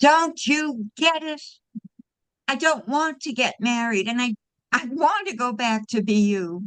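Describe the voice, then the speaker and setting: A female-sounding put-on character voice, high-pitched, shrill and loud, moves at a fairly slow pace. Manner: desperate, pleading.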